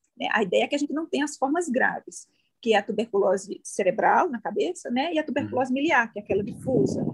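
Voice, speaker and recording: A woman with a northeastern Brazilian accent and a high pitch talks fairly quickly with very wide pitch swings, in a dry, close sound with no echo. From Northeast Brazil, João Pessoa. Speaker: infectious disease doctor. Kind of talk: interview.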